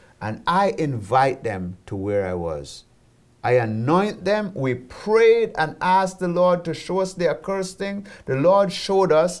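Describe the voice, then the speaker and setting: Against a quiet background, a man with a Jamaican accent talks at a fairly slow pace in a high pitch, his voice making very wide pitch swings. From Jamaica (rural St. Elizabeth, then Kingston). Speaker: ministry founder and president; interviewee. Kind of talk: interview testimony. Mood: earnest, testimonial. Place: studio. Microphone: lapel.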